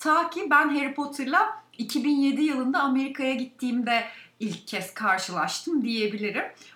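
Speaking at a moderate pace, the woman has a high pitch. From Turkey, Balıkesir province. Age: 30s. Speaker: podcast co-host. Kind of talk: casual chat.

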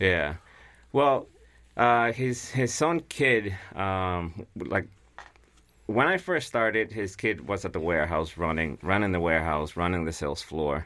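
A man speaks in a Guatemalan accent. His pitch is very deep and low, and his pace is fairly slow. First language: Spanish. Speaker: piano mover. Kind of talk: casual interview.

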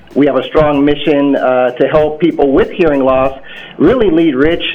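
Against noticeable background noise, a man with an American accent speaks at a fairly high pitch and a moderate pace, his intonation fairly even. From Iowa. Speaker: company director. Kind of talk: radio interview. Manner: hesitant with fillers.

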